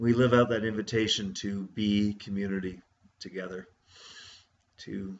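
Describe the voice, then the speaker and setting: A man speaks at a fairly low pitch with monotone, flat intonation. His pace is moderate, with light background noise. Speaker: church minister. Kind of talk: casual summary of a church service. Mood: warm, reflective, joyful. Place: home room. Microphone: webcam.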